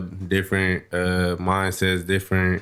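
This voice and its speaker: A man with an American accent speaks in a very deep, low voice with monotone, flat intonation, on a very clean recording with a silent background. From Compton, California (East Side). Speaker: rapper. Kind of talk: interview. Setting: studio.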